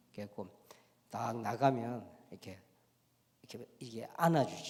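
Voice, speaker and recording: A man with a strong Gyeongsang accent speaks at a fairly slow pace in a medium-pitched voice. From Korea, Gyeongsang province. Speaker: pastor and lecturer. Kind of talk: special lecture in church. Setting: church.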